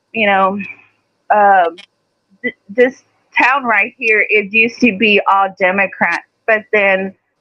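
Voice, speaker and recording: In a strong Texas accent, a woman speaks with monotone, flat intonation. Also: long, frequent pauses. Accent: Texas twang, pronounced. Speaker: live stream guest. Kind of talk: casual chat.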